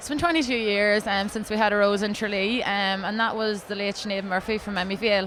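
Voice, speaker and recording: Amid noticeable background noise, the speaker talks with an Ulster accent, fairly even intonation and hardly any pauses. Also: woman, medium pitch for a woman, fairly quick pace. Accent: Ulster Irish (Monaghan). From Ireland, County Monaghan. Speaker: beauty pageant contestant. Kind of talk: interview. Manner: fast; hesitant, many fillers.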